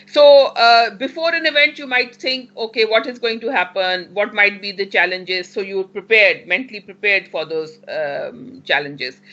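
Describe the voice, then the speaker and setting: Pitched fairly high, a woman's voice swings very widely in pitch at a moderate pace. She leaves hardly any pauses, and there is noticeable background noise. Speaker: university teacher trainer. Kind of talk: lecture.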